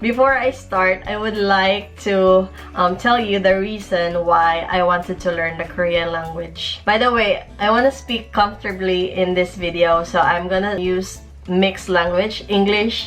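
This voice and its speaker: A woman's medium-pitched voice over music in the background, at a fairly slow pace with ordinary pitch variation. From Philippines, Bisaya-speaking region. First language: Bisaya (Cebuano). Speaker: vlogger. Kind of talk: casual vlog talk, Taglish code-switching. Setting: home alone.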